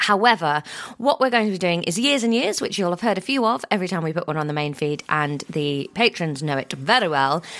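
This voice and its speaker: With a British accent and fairly low pitch, a woman talks in lively intonation over noticeable background noise. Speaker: podcast co-host. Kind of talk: casual chat.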